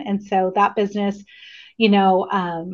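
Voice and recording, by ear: A woman speaks with an American accent. Her pitch is medium.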